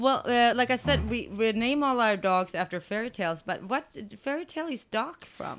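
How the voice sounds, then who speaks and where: Hardly pausing at all, a woman with a Swedish accent talks at a moderate pace, her fairly high pitch carrying lively intonation. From Sweden. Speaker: dog rescue co-founder, podcast co-host. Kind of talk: casual chat.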